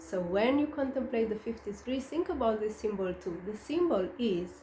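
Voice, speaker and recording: A woman with a slight non-native accent speaks at a fairly high pitch. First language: not English. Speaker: astrologer. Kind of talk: monologue on astrology. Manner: hesitant, many fillers.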